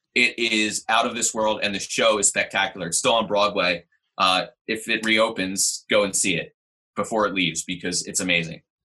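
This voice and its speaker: Against a quiet background, a man with an American accent uses a fairly low pitch and a bright, sharp tone, speaking at a moderate pace with fairly even intonation. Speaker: teacher. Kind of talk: casual chat. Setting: video call.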